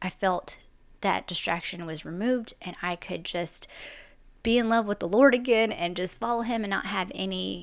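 A woman speaks in a normal speaking voice at a medium pitch and a moderate pace, with ordinary pitch variation, on a very clean recording with a silent background. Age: 40s. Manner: casual, chatty, conversational.

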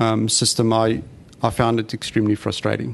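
A man of medium pitch with a South African accent. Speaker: former company CEO with spinal cord injury. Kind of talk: interview conversation.

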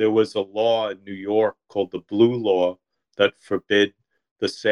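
Against a quiet background comes an unforced reading voice with fairly even intonation.

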